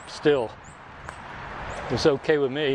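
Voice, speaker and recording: The voice stays in a monotone, flat intonation against noticeable background noise. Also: man. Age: 70s. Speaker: podcaster and recreational runner. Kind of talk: casual solo monologue. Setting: outdoors walking in a park. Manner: halting, with frequent fillers and restarts; rambling conversational.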